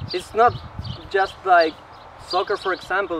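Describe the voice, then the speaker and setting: Noticeable background noise accompanies a man whose intonation is fairly even. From Peru. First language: Spanish. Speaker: slackline athlete and instructor. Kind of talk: tutorial.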